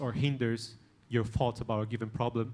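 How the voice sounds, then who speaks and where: A man speaks with a non-native accent and fairly even intonation. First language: not English. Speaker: conference panelist. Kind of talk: panel discussion.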